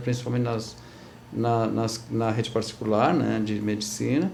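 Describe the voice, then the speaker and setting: Heard with audible room echo, a man talks at a moderate pace. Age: 60s. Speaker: actor and theatre teacher. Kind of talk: TV interview. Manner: halting, many repetitions and fillers.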